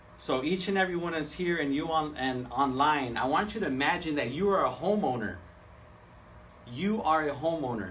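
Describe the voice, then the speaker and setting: Animated and with lively intonation, a man in a Spanish accent talks at a fairly quick pace amid audible room echo. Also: fairly high pitch for a man. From San Diego, California. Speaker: seminar speaker, home loan professional. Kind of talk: seminar presentation. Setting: live event with audience, streamed on Facebook Live. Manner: halting, many fillers and repeats.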